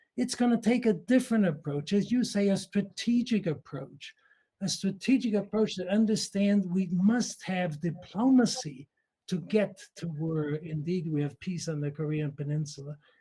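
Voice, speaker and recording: Speaking with a German accent at a moderate pace, a man has a high pitch, a dark, mellow tone and lively intonation. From Austria. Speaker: nuclear scientist. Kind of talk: audience question at a symposium. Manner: halting, many fillers.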